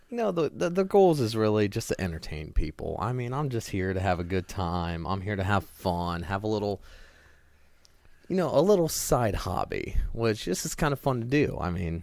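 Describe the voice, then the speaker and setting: A man with an American accent speaks at a moderate pace and fairly low pitch. His pitch swings very widely on a very clean recording with a silent background. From Northeast Ohio. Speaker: podcast co-host. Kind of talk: casual chat.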